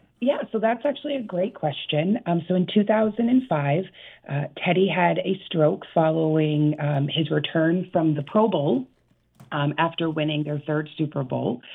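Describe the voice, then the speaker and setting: An unremarkable speaking voice with lively intonation at a moderate pace. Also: woman, fairly low pitch for a woman. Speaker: foundation executive director. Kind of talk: radio interview.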